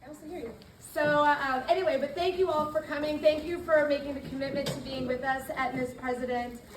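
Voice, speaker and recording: A woman with a high pitch talks at a fairly quick pace, with hardly any pauses and big swings in loudness. Noticeable background noise and audible room echo are present. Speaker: chapter leader of a girls' civic leadership program. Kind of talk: workshop talk to a group of girls. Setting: library room with audience, also on Zoom, using a mic. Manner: animated.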